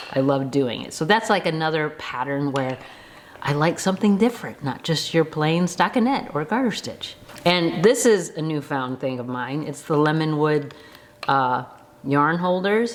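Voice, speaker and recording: A woman's very deep, low voice at a moderate pace, lively in intonation, against noticeable background noise. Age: 50s. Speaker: knitting vlogger. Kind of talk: casual talk to camera.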